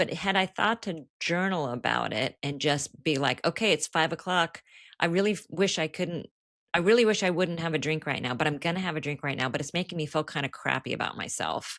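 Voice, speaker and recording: In a plain, everyday voice, a woman speaks at fairly low pitch with ordinary pitch variation, the sound dry and close with no echo on a very clean recording with a silent background. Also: fairly quick pace. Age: 60s. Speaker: author in recovery. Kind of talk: podcast interview. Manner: casual, conversational.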